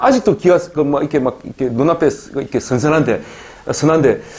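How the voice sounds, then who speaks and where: Noticeable background noise runs through the clip. A man talks over it. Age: 60s. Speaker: YouTuber on life in the Philippines. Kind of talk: casual monologue vlog. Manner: animated.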